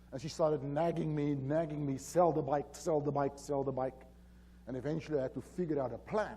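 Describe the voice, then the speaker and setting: Speaking with a strong South African accent, the man has a fairly high pitch, a dark, mellow tone, a somewhat breathy quality and ordinary pitch variation. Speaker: safety consultant. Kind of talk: conference presentation. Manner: hesitant, many fillers.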